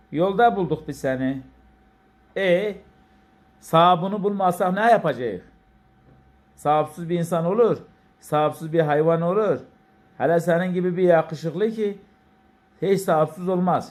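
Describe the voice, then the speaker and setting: Talking at a fairly slow pace with long, frequent pauses, a speaker with an Elazığ accent shows ordinary pitch variation. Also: man, high pitch for a man. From Elazığ, Turkey. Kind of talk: casual talk to an animal.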